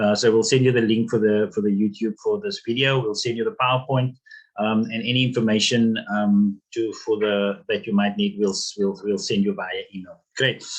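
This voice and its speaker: A man speaks at medium pitch. His intonation stays fairly even. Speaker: business workshop facilitator. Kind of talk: webinar lecture. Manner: fast; halting, many fillers and repeats.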